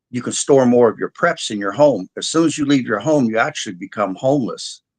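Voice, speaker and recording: A man with a normal speaking voice at medium pitch, fairly quick pace and ordinary pitch variation, against a quiet background. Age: 60s. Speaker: disaster preparedness specialist. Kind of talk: interview.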